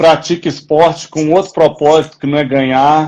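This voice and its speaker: Against a quiet background, a man speaks at a moderate pace. His fairly high voice stays monotone and flat. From Minas Gerais, Brazil. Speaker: project organizer and live host. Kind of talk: casual chat. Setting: outdoors.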